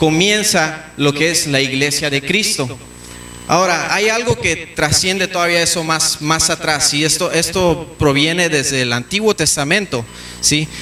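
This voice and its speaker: Noticeable background noise behind a man's fairly high voice, fairly slow, with ordinary pitch variation and very even loudness. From Mexico. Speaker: pastor. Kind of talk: sermon. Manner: halting, repeats words.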